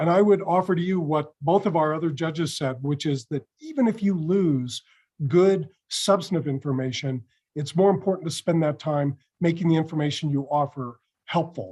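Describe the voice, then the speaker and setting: With a dark, mellow tone, a man speaks at a fairly high pitch and moderate pace with ordinary pitch variation. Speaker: mock trial judge. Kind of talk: spoken feedback.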